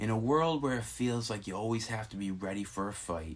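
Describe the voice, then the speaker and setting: Audible room echo surrounds a man speaking at a fairly low pitch with lively intonation. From Rhode Island. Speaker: YouTube narrator. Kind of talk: scripted narration.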